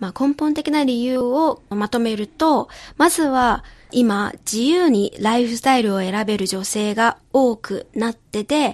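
In a dry, close sound with no echo and a quiet background, a woman with a high voice speaks with lively intonation. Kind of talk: casual radio chat. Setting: radio studio.

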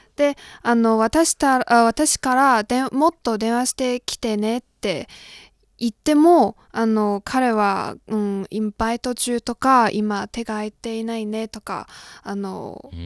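A woman in a Chinese accent, fairly high in pitch, at a very slow pace with ordinary pitch variation, in a dry, close sound with no echo over a quiet background. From China, Shandong. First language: Chinese (speaking Japanese). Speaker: graduate student of Japanese, intern. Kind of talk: advice-seeking interview, personal story.

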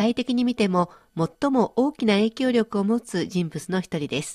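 Against a quiet background, a woman with a fairly high pitch speaks with very wide pitch swings in a dry, close sound with no echo. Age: 50s. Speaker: radio host. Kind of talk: educational radio talk.

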